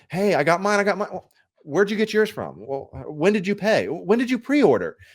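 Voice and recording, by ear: Putting on a whiny character voice, a man talks very fast at a high pitch.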